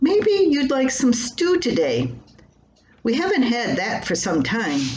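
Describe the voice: In a put-on character voice with a slightly mellow tone, a woman speaks slowly at a fairly high pitch, swinging very widely in pitch amid strong room echo.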